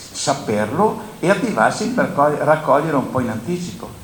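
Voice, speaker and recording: In a room with audible echo and noticeable background noise, a man talks fairly slowly in a fairly high pitch that swings very widely. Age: 70s. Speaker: grain dryer operator and agricultural panelist. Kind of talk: conference panel talk. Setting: conference with audience.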